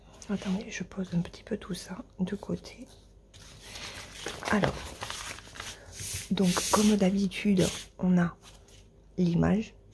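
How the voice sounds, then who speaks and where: A woman speaks at a very slow pace in a monotone, flat intonation, leaving long, frequent pauses. Noticeable background noise is present. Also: medium pitch for a woman. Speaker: crafting youtuber. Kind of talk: unboxing video. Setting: at home, early morning. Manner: hesitant, many filler words; quiet, avoiding raising voice. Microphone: mic at mouth height, may sound quiet.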